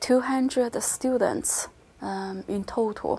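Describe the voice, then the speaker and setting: In a Chinese accent, a woman speaks at a very slow pace with ordinary pitch variation. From China, Kunming (southwest). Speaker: university Chinese language teacher. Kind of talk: interview. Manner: halting, many fillers.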